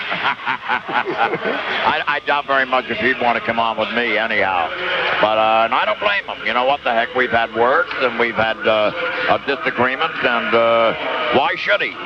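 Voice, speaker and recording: A male voice, fairly slow and with lively intonation, comes through clearly audible background noise. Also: medium pitch for a man. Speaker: radio play-by-play announcer. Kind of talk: postgame radio interview.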